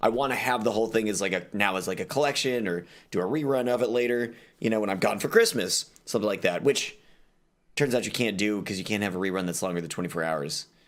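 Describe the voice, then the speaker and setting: Speaking very fast with a fairly low pitch and ordinary pitch variation, a man with an American accent is heard in a very clean recording with a silent background. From Texas. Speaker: streamer. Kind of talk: casual chat.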